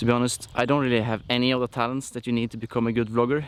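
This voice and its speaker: A man speaks at a medium pitch with a non-native accent. His intonation is flat and monotone. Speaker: musician vlogger. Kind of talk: vlog monologue. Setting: outdoors, hiking.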